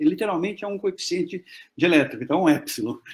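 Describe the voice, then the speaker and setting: On a very clean recording with a silent background, a man talks very fast in a high pitch with very wide pitch swings. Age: 60s. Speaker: physics professor. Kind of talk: Q&A after lecture.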